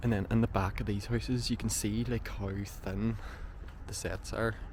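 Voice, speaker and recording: Here a man speaks with a Northern Irish accent. His pace is moderate. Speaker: urban explorer vlogger. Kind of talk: walkthrough vlog narration. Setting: outdoors on abandoned film set.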